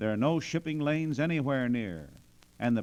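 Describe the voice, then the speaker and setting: He has an unremarkable speaking voice, a medium pitch and ordinary pitch variation, moving at a moderate pace. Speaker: newsreel narrator. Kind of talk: radio story narration.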